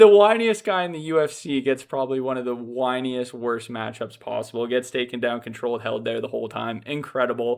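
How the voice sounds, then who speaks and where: Speaking at a fairly quick pace with hardly any pauses, this man has a medium pitch. His pitch variation is ordinary. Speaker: MMA commentator. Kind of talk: casual commentary. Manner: fast; animated.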